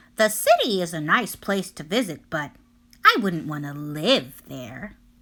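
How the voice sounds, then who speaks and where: A female-sounding put-on character voice at a fairly low pitch and a moderate pace. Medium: read story.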